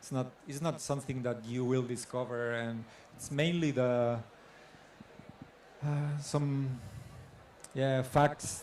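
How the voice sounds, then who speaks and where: A man speaks fairly slowly at a medium pitch in a monotone, flat delivery, with audible room echo. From Catalonia, Spain. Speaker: photographer. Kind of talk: artist talk Q&A. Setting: stage with audience. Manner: halting.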